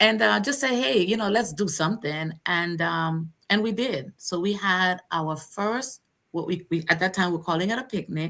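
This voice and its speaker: A woman with a medium pitch speaks in a bright, sharp tone with lively intonation. Her moderate pace has hardly any pauses, and the recording is very clean with a silent background. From US Virgin Islands. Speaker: community organization founder. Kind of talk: interview. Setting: live stream. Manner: halting, many fillers.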